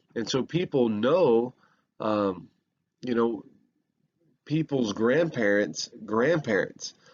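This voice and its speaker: Lively intonation marks this Southern US accent. The pace is very slow, with long, frequent pauses. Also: man, medium pitch for a man. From US South. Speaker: history professor. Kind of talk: lecture. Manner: halting, many fillers.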